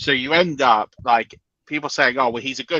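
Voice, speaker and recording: A man speaks at a very fast pace with a British accent. His tone is bright and sharp, and the sound is dry and close with no echo. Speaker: fantasy football analyst. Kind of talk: casual chat. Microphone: lagging connection.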